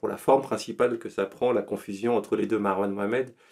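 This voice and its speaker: Over a quiet background, a man with a fairly low pitch speaks in a monotone, flat intonation. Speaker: podcast guest. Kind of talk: interview answer. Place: home room. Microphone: studio mic.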